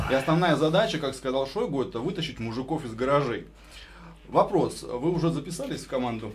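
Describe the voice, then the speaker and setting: Over light background noise, a man speaks at a fairly quick pace with lively intonation and a fairly high pitch. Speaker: radio co-host. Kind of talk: radio interview. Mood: playful, ironic. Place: studio. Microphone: studio mic.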